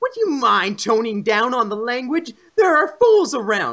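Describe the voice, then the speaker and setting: Using a put-on character voice, this man pushes his pitch extremely high. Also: moderate pace. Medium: read story. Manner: polite, tentative.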